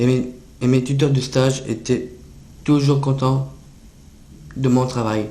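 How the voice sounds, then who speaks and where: Very slowly and with long, frequent pauses, a man speaks in a dark, mellow, somewhat breathy tone, his intonation monotone and flat, his loudness very even, and room echo audible. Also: medium pitch for a man. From northern France, near Dunkirk. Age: 20s. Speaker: self-advocate with Down syndrome. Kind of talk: prepared public speech. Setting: international conference. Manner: halting, some repetitions.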